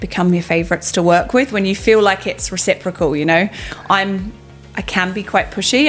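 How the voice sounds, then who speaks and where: Noticeable background noise surrounds a woman talking at a very fast pace. Her medium pitch shows ordinary variation. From southwest England. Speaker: fitness coaching executive. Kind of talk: interview.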